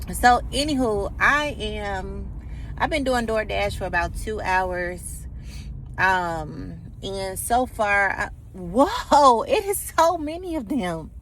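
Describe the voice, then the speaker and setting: Words come from a woman very slowly. Her voice picks up audible echo from the room. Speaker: vlogger and delivery driver. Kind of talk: casual vlog. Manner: casual, filler-heavy.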